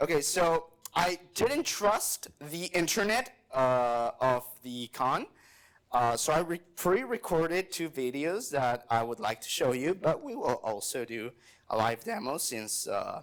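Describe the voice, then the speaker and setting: A very clean recording with a silent background of a man with a Spanish accent, a fairly slow pace and very wide pitch swings. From Mexico. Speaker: software developer, conference speaker. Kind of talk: conference talk with live demo. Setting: stage with audience. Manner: casual, with many fillers.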